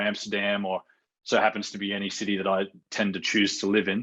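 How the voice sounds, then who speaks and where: A man with an Australian accent, a fairly low pitch and a bright, sharp tone, at a fairly quick pace against a quiet background. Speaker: real estate researcher. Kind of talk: podcast interview.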